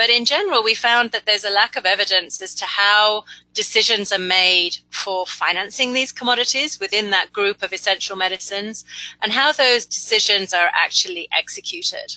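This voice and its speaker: A woman's fairly high, bright, sharp voice at a moderate pace, dry and close with no echo. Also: ordinary pitch variation. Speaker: principal technical advisor, webinar presenter. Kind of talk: webinar presentation. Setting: webinar broadcast.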